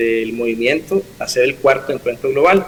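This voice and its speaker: A man keeps a moderate pace as noticeable background noise fills the recording. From Costa Rica, Upala. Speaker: pastor. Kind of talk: interview testimony.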